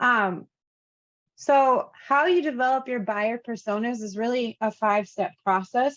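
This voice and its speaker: In a plain, everyday voice, a woman talks at a fairly slow pace with a fairly high pitch. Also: ordinary pitch variation. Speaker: course instructor. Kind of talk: lecture.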